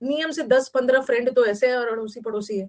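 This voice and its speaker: Lively intonation marks a woman's high-pitched speech. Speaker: teacher. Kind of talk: online class lecture. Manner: casual, chatty.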